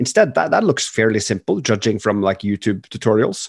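A man with a Norwegian accent and very wide pitch swings. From Norway. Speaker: startup CEO and co-founder. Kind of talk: interview. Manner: halting.

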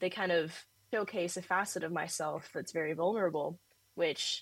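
A woman with an American accent speaks in a plain, everyday voice at medium pitch, with ordinary pitch variation and a moderate pace. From Northern California. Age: 20s. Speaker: art student and painter. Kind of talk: casual interview.

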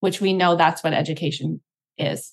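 This woman speaks with a Canadian accent at a fairly low pitch and with fairly even intonation. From Canada. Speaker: teacher and author. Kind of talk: interview.

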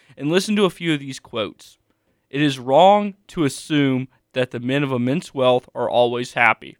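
In a very clean recording with a silent background, a man with a fairly high pitch speaks at a moderate pace in a normal speaking voice. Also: lively intonation, dry, close sound with no echo. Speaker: college student co-host. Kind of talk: casual sports chat.

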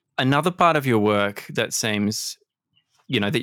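The recording is very clean with a silent background. A man with vocal fry speaks at a fairly quick pace in a fairly low pitch, using ordinary pitch variation. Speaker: podcast host. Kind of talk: interview conversation.

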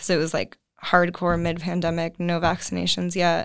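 A woman with an American accent, an unremarkable speaking voice, a fairly low pitch and a moderate pace. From US Northeast, Connecticut suburbs of New York. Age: 20s. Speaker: graduate student. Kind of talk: casual interview.

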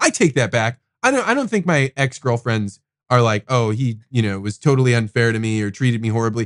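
An unremarkable speaking voice from a man, medium in pitch with ordinary pitch variation. He talks at a fairly quick pace, and the sound is dry and close with no echo. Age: 40s. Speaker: podcast host. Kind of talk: casual chat. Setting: studio.

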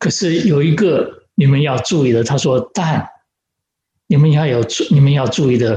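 Somewhat breathy, a man's fairly high voice moves with lively intonation. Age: 70s. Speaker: pastor. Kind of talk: sermon. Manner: halting with fillers.

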